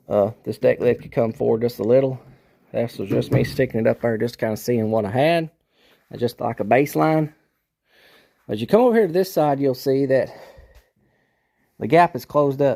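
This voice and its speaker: At a fairly quick pace, a man speaks at a medium pitch with ordinary pitch variation and a dark, mellow tone. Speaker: car restoration YouTuber. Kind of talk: workshop tutorial. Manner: slurred; casual.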